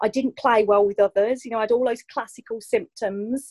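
A woman speaks in an ordinary speaking voice at a fairly quick pace and fairly high pitch, with ordinary pitch variation. The recording is dry and close, with no echo. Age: 40s. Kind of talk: casual chat.

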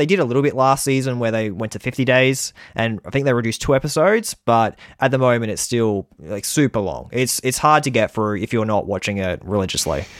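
On a very clean recording with a silent background and a dry, close sound with no echo, a man with an Australian accent talks at a fairly quick pace with ordinary pitch variation. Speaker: survivor podcaster. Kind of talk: casual chat.

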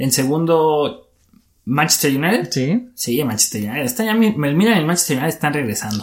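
Very wide swings in pitch mark this man's fairly high voice. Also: moderate pace. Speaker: sports podcast co-host. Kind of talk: casual chat.

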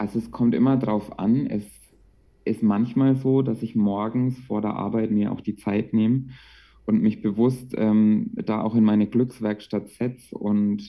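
An unremarkable speaking voice from a man of medium pitch, with fairly even intonation at a fairly slow pace. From Franconia, Bavaria (Bamberg). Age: 20s. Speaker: childcare worker and meditation coach. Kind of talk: casual interview.

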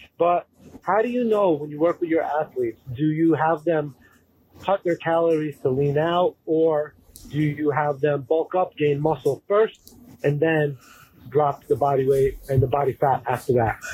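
A man with a fairly high pitch, a dark and mellow tone, and a somewhat breathy quality. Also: ordinary pitch variation, moderate pace. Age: 30s. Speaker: caller. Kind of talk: recorded voicemail question.

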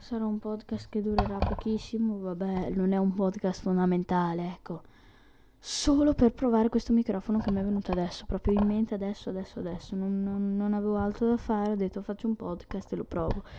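At a fairly quick pace, a woman talks at medium pitch with fairly even intonation. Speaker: podcaster. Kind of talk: casual monologue. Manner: halting. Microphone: new USB microphone.

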